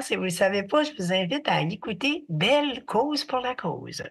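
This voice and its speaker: Very wide pitch swings mark this woman's speech. She talks in a Quebec accent. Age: 70s. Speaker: artist and mental health advocate. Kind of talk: podcast interview.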